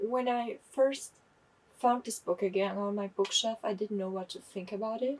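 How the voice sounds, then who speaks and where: Here is a woman with a German accent. Her pitch is fairly high. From Germany. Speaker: book vlogger. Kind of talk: casual book review monologue. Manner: halting, self-correcting.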